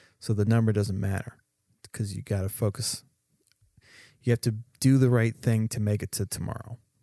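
Long, frequent pauses from a man with a fairly low pitch, a dark, mellow tone and monotone, flat intonation, recorded dry and close with no echo. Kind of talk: casual chat. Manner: slow talker.

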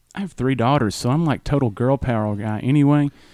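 A man with a Southern accent speaks very fast in a fairly high voice, his pitch varying in an ordinary way, on a very clean recording with a silent background. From US South. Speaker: music fan, host's brother. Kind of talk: casual chat.

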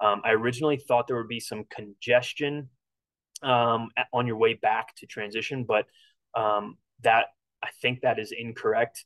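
The man's delivery is monotone and flat, broken by long, frequent pauses and big swings in loudness. The sound is dry and close, with no echo. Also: medium pitch for a man, moderate pace. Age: 30s. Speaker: triathlon coach and podcast host. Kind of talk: solo podcast race preview. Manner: casual, frequent filler words.

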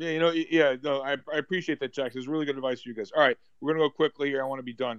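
Dry and close with no echo, a man's voice with a fairly high pitch moves at a very fast pace. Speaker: investment talk host. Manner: animated.

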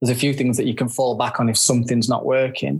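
Speaking very fast in a northern English accent, a man keeps a medium pitch and a monotone, flat intonation. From northern England. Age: 50s. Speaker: photographer. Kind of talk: casual interview chat.

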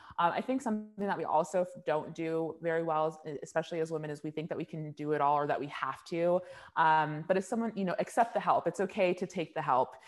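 With an American accent, a woman talks at a very fast pace in a fairly low voice with ordinary pitch variation. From Orange County, California. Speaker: beauty business founder. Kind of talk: interview.

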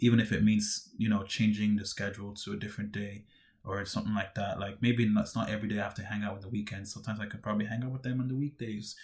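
A man talks at a very fast pace in a fairly low, somewhat breathy voice. His intonation stays fairly even. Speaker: podcaster. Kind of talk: casual solo monologue.

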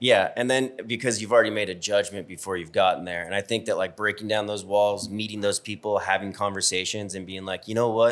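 A man with a normal speaking voice talks fairly fast with hardly any pauses. His pitch is fairly low and his intonation fairly even. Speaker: podcast host. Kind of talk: casual chat.

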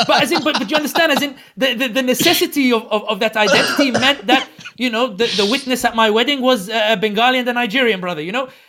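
A man speaks in a raised, projected voice at an extremely high pitch and a very fast pace, with ordinary pitch variation. There is noticeable background noise. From London, England. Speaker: political commentator. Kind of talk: casual interview. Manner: repetitive halting.

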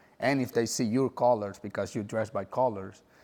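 With a Spanish accent, a man speaks at a moderate pace and medium pitch, his intonation fairly even. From El Salvador. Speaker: former gang member. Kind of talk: testimony.

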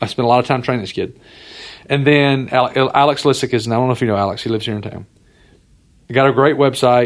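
A medium-pitched man with an Alabama accent, very fast yet broken by long, frequent pauses, with fairly even intonation. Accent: Southern US (Alabama). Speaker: entrepreneur, former college football coach. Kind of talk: casual interview.

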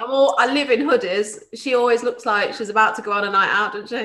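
A high-pitched woman talks at a fairly quick pace. Her pitch varies in an ordinary way. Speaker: podcast host, electrician. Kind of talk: casual interview chat. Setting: video call with connection problems.

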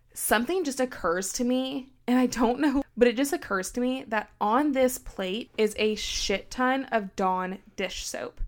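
A high-pitched woman's voice at a fairly slow pace with ordinary pitch variation, in a very clean recording over a silent background. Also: hardly any pauses. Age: 20s. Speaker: podcast co-host. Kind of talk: casual chat.

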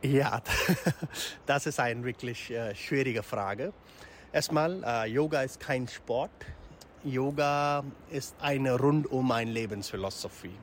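Speaking at a very slow pace, a man with a medium-pitched voice and ordinary pitch variation leaves long, frequent pauses. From India. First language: Hindi or other Indian language (speaking German). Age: 40s. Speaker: yoga teacher. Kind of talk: interview. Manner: halting.

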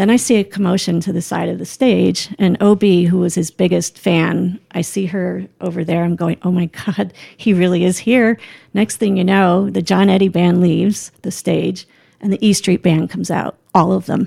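In an American accent, a woman with a fairly low pitch and a dark, mellow tone speaks at a moderate pace with fairly even intonation and vocal fry, in a dry, close sound with no echo. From New Jersey, small town near New York City. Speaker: mother and foundation founder. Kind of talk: casual chat.

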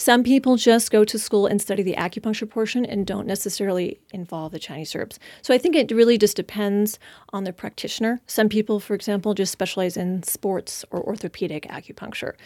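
A woman with an American accent and a plain, everyday voice, medium in pitch with ordinary pitch variation, at a fairly quick pace in a very clean recording with a silent background and a dry, close sound with no echo. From Washington State, San Juan Islands. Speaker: acupuncturist. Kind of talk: casual interview.

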